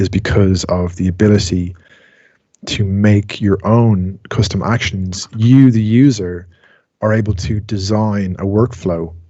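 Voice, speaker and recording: In an Irish accent, a man talks at a very slow pace with a very deep, low pitch and fairly even intonation, the sound dry with no echo over a quiet background. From Ireland. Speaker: music technology tutor. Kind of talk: online class tutorial. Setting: video call. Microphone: video call.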